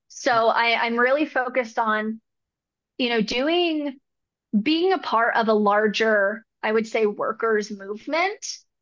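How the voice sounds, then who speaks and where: Against a quiet background, a woman with an American accent speaks at a fairly slow pace in an ordinary speaking voice, her fairly high pitch showing ordinary pitch variation. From Northern California. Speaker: depth therapist. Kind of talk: interview.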